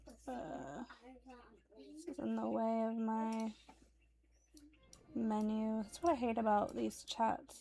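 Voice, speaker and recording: With an American accent, a woman speaks at a very slow pace with long, frequent pauses. Her fairly high voice is somewhat breathy and has a dark, mellow tone. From United States. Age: 30s. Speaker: streamer. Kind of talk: casual chat.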